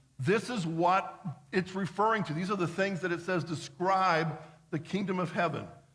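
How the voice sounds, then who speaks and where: In a room with audible echo, a man talks at a high pitch with fairly even intonation. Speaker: pastor. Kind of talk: sermon. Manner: fast.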